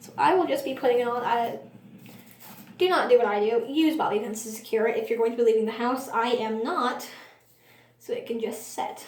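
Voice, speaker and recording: Amid noticeable background noise and audible room echo, a woman speaks in a high voice with ordinary pitch variation and long, frequent pauses. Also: fairly quick pace. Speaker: beginner beauty vlogger. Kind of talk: makeup tutorial.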